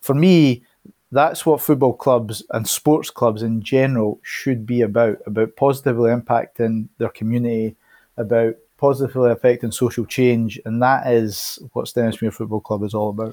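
On a very clean recording with a silent background, a man at medium pitch speaks at a moderate pace with a dark, mellow tone, fairly even intonation and a dry, close sound with no echo. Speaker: community trust staff member. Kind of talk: interview.

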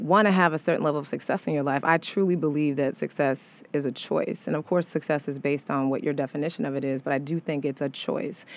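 The pace is fairly quick, with ordinary pitch variation. The recording is very clean, with a silent background. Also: woman. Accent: American. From US Midwest, St. Louis, Missouri. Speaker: actress, singer, dancer. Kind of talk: interview. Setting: radio studio.

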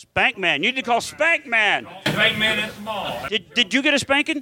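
An American-accented man uses a raised, projected voice and an animated tone at a moderate pace. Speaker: podcast host and comedian. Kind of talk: live comedy podcast chat with crude joking and riffing, audience present. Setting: live in front of audience at comedy club. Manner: animated, jokey, rambling; irreverent crude roasting banter.

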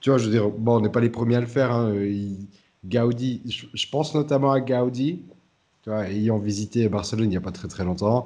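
With a dark, mellow tone, a man speaks at a medium pitch and moderate pace with ordinary pitch variation. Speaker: podcast host. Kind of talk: casual chat.

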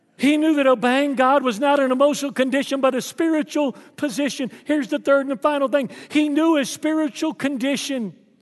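Speaking at a fairly quick pace with hardly any pauses, a man with a Southern US accent uses an extremely high pitch and ordinary pitch variation. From Texas. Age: 60s. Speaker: pastor. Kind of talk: sermon. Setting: church.

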